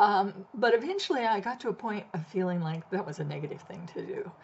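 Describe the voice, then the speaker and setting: A woman with an American accent speaks at a moderate pace in a medium pitch. Noticeable background noise is present. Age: 70s. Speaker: blogger. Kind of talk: casual talk to camera.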